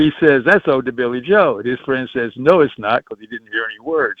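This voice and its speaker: Speaking at medium pitch, a man talks with a Southern US accent. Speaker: musician. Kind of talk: interview answer. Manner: casual storytelling.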